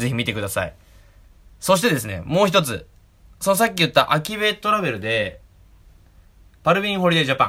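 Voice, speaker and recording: A man's high, bright, sharp voice moves at a fairly quick pace with very wide pitch swings and long, frequent pauses. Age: 20s. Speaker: podcast host. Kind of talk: casual chat.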